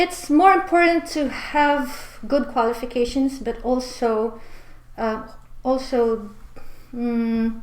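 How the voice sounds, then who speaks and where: Very slow speech with ordinary pitch variation and audible room echo. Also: woman, high pitch for a woman. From Philippines. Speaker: immigration consultant. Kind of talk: mock speaking exam answers. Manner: hesitant, many fillers.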